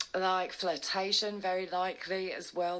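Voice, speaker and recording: Speaking at a moderate pace, a woman uses a normal speaking voice with fairly low pitch. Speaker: tarot reader. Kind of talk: tarot reading monologue.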